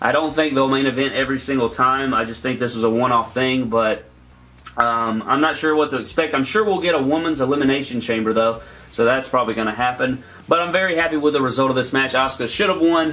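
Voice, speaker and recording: Very fast male speech at medium pitch, with ordinary pitch variation over noticeable background noise. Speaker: wrestling YouTuber. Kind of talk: casual video review.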